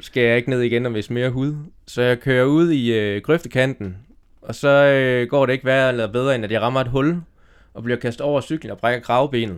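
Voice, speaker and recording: A man's ordinary speaking voice, medium in pitch, at a moderate pace. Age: 30s. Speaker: cycling magazine editor. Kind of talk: casual chat. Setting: outdoors.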